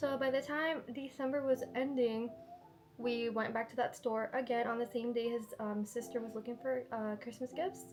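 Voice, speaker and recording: A woman with a high voice speaks at a moderate pace in a fairly even tone while music plays in the background. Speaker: lifestyle vlogger. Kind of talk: casual haul vlog. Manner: chatty, casual.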